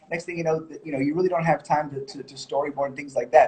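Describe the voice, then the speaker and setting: A man with a high-pitched voice and ordinary pitch variation. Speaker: music video director and editor. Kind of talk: live Q&A. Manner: fast; hesitant with fillers.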